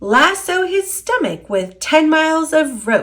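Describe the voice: Shouting in a put-on character voice, a woman speaks slowly at a high pitch with big pitch swings and a fairly bright tone.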